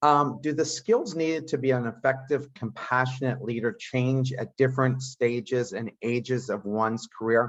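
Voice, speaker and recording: A man with a normal speaking voice talks at a medium pitch and moderate pace, with fairly even intonation and hardly any pauses. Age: 60s. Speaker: podcast host and entrepreneur. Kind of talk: interview conversation.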